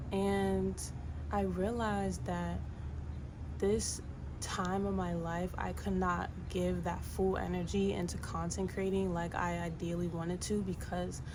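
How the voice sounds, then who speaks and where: A soft-spoken woman talks at a fairly slow pace, with noticeable background noise and audible room echo. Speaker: vlogger. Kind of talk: personal vlog monologue. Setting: home, windows open. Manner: low-energy. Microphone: no microphone.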